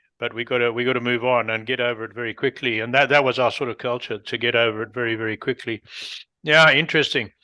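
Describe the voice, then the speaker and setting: Bright and sharp in tone, a man's voice sits at medium pitch with a southern African accent. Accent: non-North American, southern African. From Rhodesia (Zimbabwe), southern Africa. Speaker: podcast host. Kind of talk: interview conversation.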